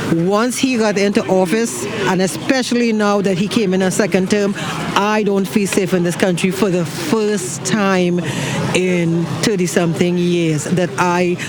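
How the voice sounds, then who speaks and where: Over noticeable background noise and audible room echo, a man with a high pitch talks at a moderate pace, his intonation fairly even and his loudness very even. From outside the US. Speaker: vigil attendee. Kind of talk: street interview. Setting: outdoors. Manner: halting.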